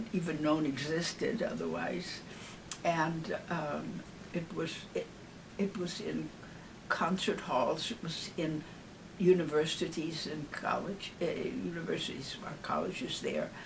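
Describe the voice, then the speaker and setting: With an American accent, a woman talks at a fairly slow pace in a fairly low pitch. Her pitch varies in an ordinary way, and background noise is noticeable. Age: 80s+. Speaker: singer. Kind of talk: interview answer. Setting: home. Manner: warm, witty.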